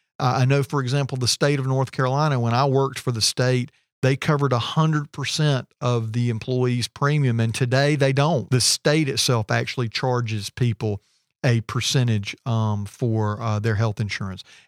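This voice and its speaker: A man with an unremarkable speaking voice and medium pitch talks at a moderate pace with fairly even intonation, recorded dry and close with no echo on a very clean recording with a silent background. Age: 40s. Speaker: business co-owner. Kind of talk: casual chat.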